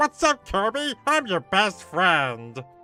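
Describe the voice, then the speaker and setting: Someone puts on a character voice at a middle pitch, with very wide pitch swings. The pace is fairly slow, and faint music plays in the background. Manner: silly, cartoonish, overly friendly.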